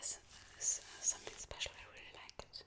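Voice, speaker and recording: Someone female, a woman, speaks in a whisper. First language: not English. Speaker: ASMR creator. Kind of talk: ASMR soft-spoken story about her tattoos. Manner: soft-spoken, whispered, hesitant. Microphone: studio mic.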